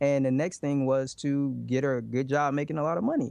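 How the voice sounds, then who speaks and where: Here is a plain, everyday voice. A man speaks at a moderate pace and a medium pitch. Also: quiet background. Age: 30s. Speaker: relationship podcast host, guest. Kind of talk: interview.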